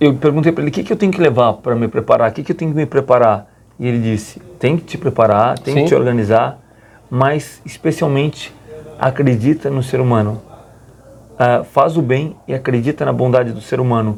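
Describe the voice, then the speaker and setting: A man speaks fairly quickly in a normal speaking voice, keeping a medium pitch with ordinary pitch variation. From Rio Grande do Sul, Brazil. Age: 40s. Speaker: Capuchin friar and long-distance pilgrim walker. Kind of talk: radio interview answer.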